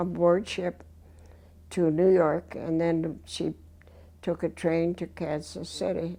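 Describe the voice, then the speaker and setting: The woman speaks at a very slow pace and a fairly low pitch. Her intonation is monotone and flat, set against a quiet background. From Spain. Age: 80s+. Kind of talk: interview answer.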